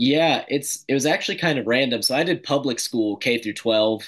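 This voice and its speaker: A man talks with an American accent in a bright, sharp tone. The background is quiet. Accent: ambiguous southern. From US South, Mississippi (suburb of Jackson); Mississippi. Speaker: classical school teacher and grad student; classical school teacher. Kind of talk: casual interview chat. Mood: relaxed, conversational. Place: home room. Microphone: webcam.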